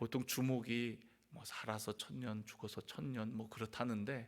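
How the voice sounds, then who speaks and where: Very slowly, a man speaks at a medium pitch. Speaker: pastor. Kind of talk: sermon. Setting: church.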